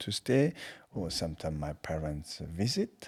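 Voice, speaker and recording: Very deep and low, a man's dark, mellow voice moves at a very slow pace with ordinary pitch variation. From Tibet. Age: 40s. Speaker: Buddhist teacher. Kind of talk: interview. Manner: halting.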